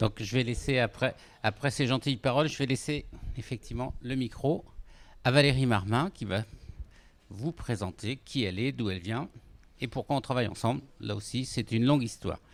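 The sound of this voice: At a fairly quick pace, a man of medium pitch talks with ordinary pitch variation.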